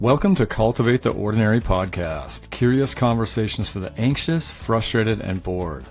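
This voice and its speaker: Lively intonation carries the speech at a moderate pace, with music in the background. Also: man, fairly low pitch for a man. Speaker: podcast host. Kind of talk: podcast intro.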